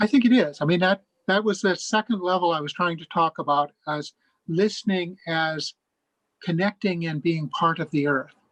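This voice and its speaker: A man with an American accent speaks at a high pitch and moderate pace, with ordinary pitch variation. The sound is dry and close, with no echo. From US Midwest, rural Minnesota. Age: 70s. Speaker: Buddhist speaker. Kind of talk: talk to a discussion circle.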